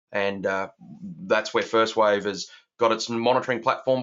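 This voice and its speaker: Fairly quick and with ordinary pitch variation, a man speaks in an Australian accent. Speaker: software architect and founder. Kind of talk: webinar presentation. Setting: online webinar.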